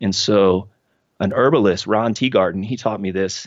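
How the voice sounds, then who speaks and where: This is an ordinary speaking voice. It carries an American accent. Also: man. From Cincinnati, Ohio, US. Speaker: hiker and artist. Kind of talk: casual interview chat.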